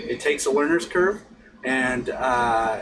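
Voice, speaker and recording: Noticeable background noise runs under a man with an American accent. His pitch swings very widely. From US South. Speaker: pipe smoking instructor. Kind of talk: tutorial. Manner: halting.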